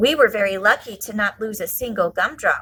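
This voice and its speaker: A woman's put-on character voice, medium in pitch, at a fairly quick pace. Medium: read story.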